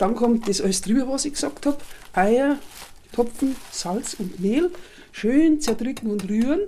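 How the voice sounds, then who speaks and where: Using a high pitch with very wide swings, a woman talks at a fairly slow pace with long, frequent pauses. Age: 70s. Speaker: home cook. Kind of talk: recipe explanation.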